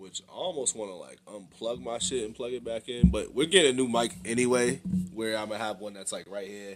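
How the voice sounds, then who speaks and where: A man at a fairly quick pace, medium in pitch, with ordinary pitch variation and big swings in loudness. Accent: American. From Boston area, US. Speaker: music reaction streamer. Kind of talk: live-stream reaction commentary. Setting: live stream. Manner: loud, projecting; casual slangy.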